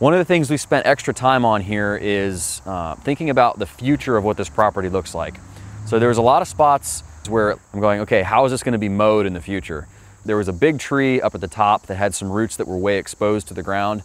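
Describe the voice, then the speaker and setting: An unremarkable speaking voice with lively intonation moves at a fairly quick pace, the sound dry with no echo. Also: man, fairly low pitch for a man. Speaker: presenter. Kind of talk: job recap commentary. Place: garden.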